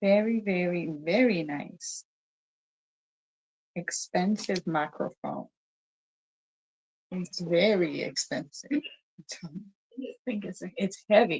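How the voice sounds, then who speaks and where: Speaking very slowly with long, frequent pauses, a somewhat breathy woman with a slight African accent swings widely in loudness, recorded dry and close with no echo. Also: medium pitch for a woman, ordinary pitch variation. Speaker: talk show host. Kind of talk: casual chat. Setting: livestream on Facebook. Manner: animated.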